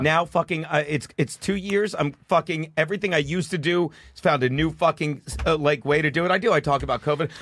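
A man with a fairly high pitch at a very fast pace. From South Jersey. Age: 50s. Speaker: stand-up comedian. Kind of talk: casual chat.

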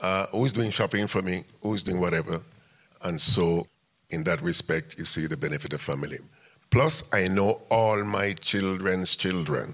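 A man with a very deep, low pitch talks in an animated tone at a moderate pace. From Jamaica (West Kingston). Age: 80s+. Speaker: music venue owner and community activist. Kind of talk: live interview on stage. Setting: stage with audience. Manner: animated storyteller.

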